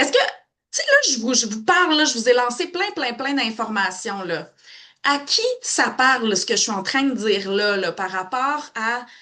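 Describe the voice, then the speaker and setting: Her voice is high-pitched, bright and sharp, and the woman speaks in an animated tone at a fairly slow pace with very wide pitch swings. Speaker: psychotherapist. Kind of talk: live webinar talk. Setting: Facebook live stream.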